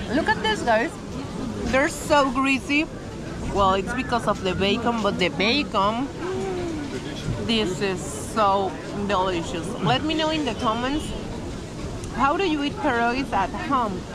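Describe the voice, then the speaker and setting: At a fairly slow pace, a woman speaks over loud background noise in a dry sound with no echo. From Venezuela. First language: Spanish. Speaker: travel vlogger. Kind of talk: travel vlog. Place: market. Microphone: phone near.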